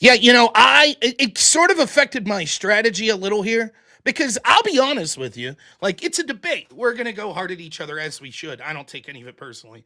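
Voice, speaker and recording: A man with a Pittsburgh accent speaks in a raised, projected voice at a very fast pace, his high pitch making very wide swings and his loudness shifting greatly, all in a bright, sharp tone. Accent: Pittsburgh Yinzer. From western Pennsylvania, northeast of Pittsburgh. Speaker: political talk show host. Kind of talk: casual chat before a debate. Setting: audio call.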